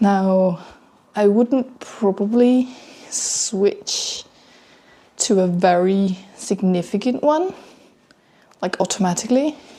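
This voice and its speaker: Somewhat breathy, a woman's medium-pitched voice carries a dark, mellow tone. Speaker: vlogger. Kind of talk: casual personal vlog monologue.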